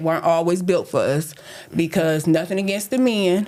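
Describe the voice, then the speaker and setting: Noticeable background noise surrounds a woman speaking at a fairly low pitch with ordinary pitch variation. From Flint, Michigan. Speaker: podcast host. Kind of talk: casual chat. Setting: studio.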